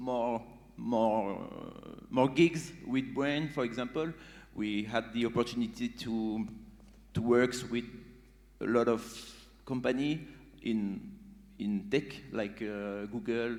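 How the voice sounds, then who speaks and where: Speaking in a French accent, a man talks at a very slow pace with long, frequent pauses. His pitch varies in an ordinary way, and audible room echo is present. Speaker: beatbox group member. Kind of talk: onstage interview. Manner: halting.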